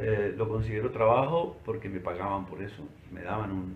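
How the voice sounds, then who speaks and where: Somewhat breathy, a man speaks at a fairly slow pace with fairly even intonation, and the room echo is audible. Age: 60s. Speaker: retiree recounting working life. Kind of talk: oral history interview. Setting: recorded by his niece. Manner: halting with repetitions.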